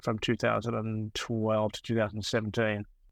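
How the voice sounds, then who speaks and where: A man speaks at a moderate pace with an Australian accent. The background is quiet. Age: 70s. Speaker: sports medicine doctor. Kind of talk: interview. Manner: halting, many fillers.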